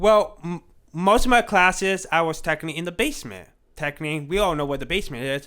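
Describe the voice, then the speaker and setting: A man's high-pitched voice with an American accent, ordinary pitch variation and a very fast pace, on a very clean recording with a silent background. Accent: talks a little funny. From Connecticut, US. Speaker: podcast guest. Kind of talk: casual chat. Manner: halting.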